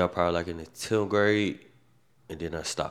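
The recording is very clean with a silent background. A man speaks with a very deep, low pitch in a monotone, flat intonation. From US South, Macon, Georgia. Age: 30s. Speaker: podcast co-host. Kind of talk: casual chat.

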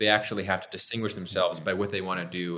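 Very fast delivery in an American accent, with a bright, sharp tone. The intonation stays fairly even. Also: man. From Pennsylvania, US. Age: 30s. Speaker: political reform advocate. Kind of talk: interview. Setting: video call.

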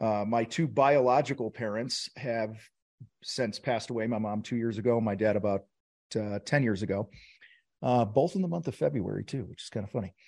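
A man with an American accent has a plain, everyday voice of medium pitch and ordinary pitch variation. He talks at a fairly quick pace over a quiet background. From US Midwest, Wheaton, Illinois (Chicago suburbs). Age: 50s. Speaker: contractor business coach and TV host. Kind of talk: casual interview chat.

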